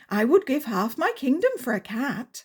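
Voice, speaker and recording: The speaker puts on a character voice and keeps to a moderate pace. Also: woman, high pitch for a woman. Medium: read story.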